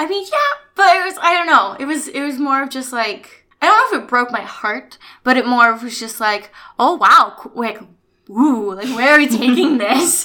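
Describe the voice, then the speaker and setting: A high-pitched woman with an American accent uses a raised, projected voice that is bright and sharp in tone and animated, with lively intonation, big swings in loudness and a moderate pace. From US West Coast, Orange County, California. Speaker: actress. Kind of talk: casual interview. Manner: animated, frequent laughter.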